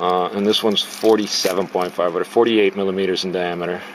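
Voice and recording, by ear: A man talks at a fairly quick pace and a low pitch, with fairly even intonation. Faint background noise can be heard.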